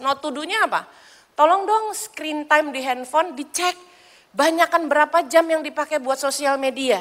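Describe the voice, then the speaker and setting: Her tone bright and sharp, a woman talks at a high pitch and a moderate pace. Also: quiet background. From Indonesia. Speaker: evangelist preacher. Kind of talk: sermon. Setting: church. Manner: animated. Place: church.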